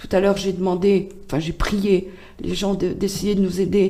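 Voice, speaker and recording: A woman speaks with vocal fry in a dark, mellow tone. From France, Loiret (Chécy). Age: 60s. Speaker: patient association president. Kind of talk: radio interview. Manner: hesitant, many fillers.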